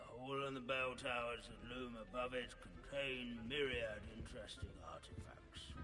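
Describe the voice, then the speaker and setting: Against loud background noise, a man at medium pitch does a put-on character voice at a moderate pace with hardly any pauses. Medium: video game. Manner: droning, monotonous, pedantic.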